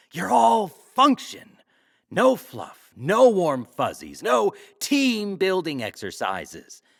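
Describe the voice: A put-on character voice swings very widely in pitch at a slow pace, with vocal fry. The recording is very clean, with a silent background. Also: man, high pitch for a man.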